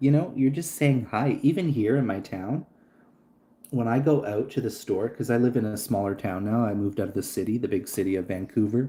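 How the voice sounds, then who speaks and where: A man with a Canadian accent, medium pitch and a dark, mellow tone, at a fairly quick pace. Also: ordinary pitch variation. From Canada. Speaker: livestreamer. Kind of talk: casual chat. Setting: livestream.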